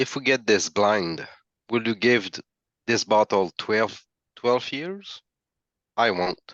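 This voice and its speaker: A man with a non-native accent and a medium pitch talks at a very slow pace, with long, frequent pauses. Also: ordinary pitch variation. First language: not English. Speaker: whisky tasting participant. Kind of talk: casual chat. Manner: halting.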